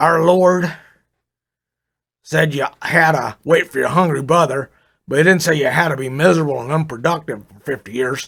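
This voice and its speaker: A man's put-on character voice, gruff and raspy, fairly high in pitch, with ordinary pitch variation, a moderate pace and long, frequent pauses, on a very clean recording with a silent background. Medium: read story. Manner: folksy, easygoing.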